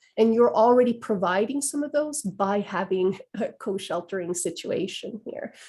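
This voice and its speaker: Speaking at a moderate pace with hardly any pauses, a woman uses lively intonation and a fairly high pitch. Her voice is somewhat breathy, with a dark, mellow tone. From western Finland. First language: Swedish. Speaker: trauma-informed care educator. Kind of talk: webinar Q&A discussion.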